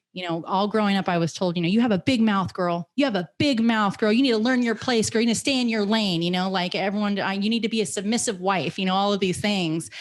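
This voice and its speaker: A woman talking very fast, animated, with hardly any pauses. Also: medium pitch for a woman, ordinary pitch variation. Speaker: podcast host. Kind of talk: casual chat. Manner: loud.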